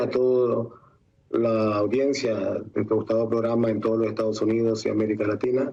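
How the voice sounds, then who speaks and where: This man's tone is dark and mellow, and he keeps to a moderate pace. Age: 60s. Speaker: former political prisoner and opposition councillor. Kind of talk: TV interview. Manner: halting.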